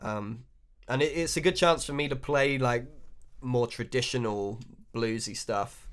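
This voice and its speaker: A man with a southern English accent speaks at a fairly slow pace and a medium pitch, with ordinary pitch variation and long, frequent pauses, on a very clean recording with a silent background. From England, West Country (Wiltshire). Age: 30s. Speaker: blues harmonica player. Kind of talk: interview. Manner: hesitant, many fillers.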